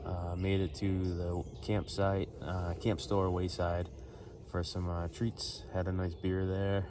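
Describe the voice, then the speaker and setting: The voice moves at a fairly slow pace in a monotone, flat intonation with a dark, mellow tone and audible room echo. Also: man. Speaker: thru-hiker vlogger. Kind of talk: casual vlog monologue. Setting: outdoors on hiking trail. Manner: casual, filler-heavy.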